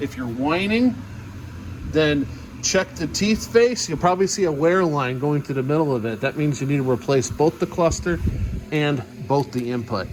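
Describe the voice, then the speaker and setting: A man speaks at medium pitch and a moderate pace, with ordinary pitch variation. Background noise is noticeable. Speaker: mechanic. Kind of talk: tutorial.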